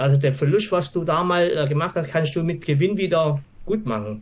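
A man's voice sounds somewhat breathy. He talks at a moderate pace with ordinary pitch variation. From Swabia, southern Germany. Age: 50s. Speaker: office employee and trading course client. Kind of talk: interview. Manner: halting, many fillers.

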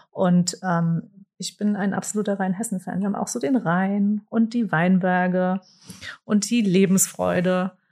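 A woman talks at a fairly slow pace with a dark, mellow tone. Her intonation stays fairly even, and her voice is somewhat breathy. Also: medium pitch for a woman. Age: 40s. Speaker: communications department head. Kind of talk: interview.

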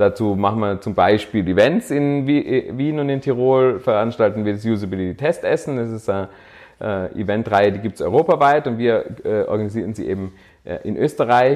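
Against a quiet background, a man talks at a moderate pace and medium pitch with ordinary pitch variation. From Austria, Tyrol (Innsbruck). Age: 30s. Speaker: startup founder. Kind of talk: interview. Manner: hesitant, many filler sounds.

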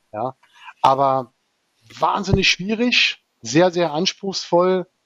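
Speaking with ordinary pitch variation, a man has a high voice. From southern Germany. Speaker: cross-golf national team player. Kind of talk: casual interview. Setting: studio. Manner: animated.

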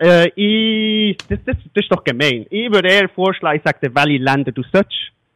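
A high-pitched man's voice with lively intonation at a moderate pace, dry and close with no echo. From Switzerland. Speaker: long-distance cyclist, listener of the week. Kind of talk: casual interview. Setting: remote call.

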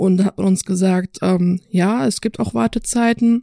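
With a dark, mellow tone, a woman speaks in fairly even intonation. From North Rhine-Westphalia, Dormagen near Cologne. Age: 20s. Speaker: university student. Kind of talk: interview. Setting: studio.

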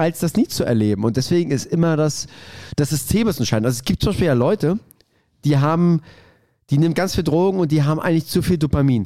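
A man with a dark, mellow tone and lively intonation, at a fairly quick pace. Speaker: podcast co-host. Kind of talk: casual chat. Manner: halting, stammering.

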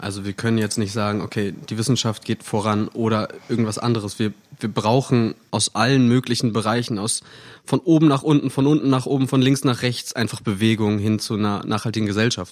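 A man with an unremarkable speaking voice talks at a fairly quick pace, medium pitch and fairly even intonation. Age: 20s. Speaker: podcast co-host, ecology graduate. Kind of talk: casual chat. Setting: living room recording.

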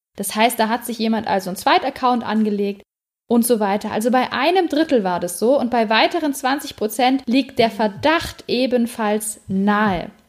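A woman speaks at a moderate pace. Her fairly high pitch varies in an ordinary way. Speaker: podcast co-host. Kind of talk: casual chat.

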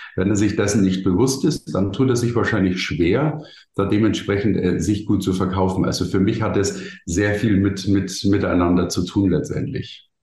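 With audible room echo, a man speaks in a fairly low, somewhat breathy voice with a dark, mellow tone, at a moderate pace with very even loudness and ordinary pitch variation. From Bavaria, Germany. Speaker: keynote speaker and marketing consultant. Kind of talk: interview. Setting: podcast studio.

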